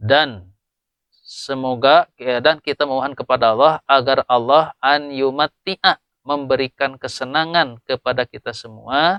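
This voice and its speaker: This man has a fairly high pitch and fairly even intonation. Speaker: Islamic boarding school teacher. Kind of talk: religious lecture. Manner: explanatory, with hesitations.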